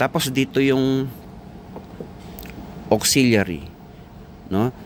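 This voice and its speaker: Noticeable background noise fills the recording. A man talks at a fairly slow pace. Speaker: sound system operator and vlogger. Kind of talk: tutorial. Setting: on site at a wedding event. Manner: casual, conversational.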